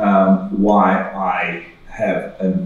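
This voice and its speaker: A man talks with an Australian accent. Audible room echo and noticeable background noise fill the recording. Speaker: medical researcher. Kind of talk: conference presentation. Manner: halting, many fillers.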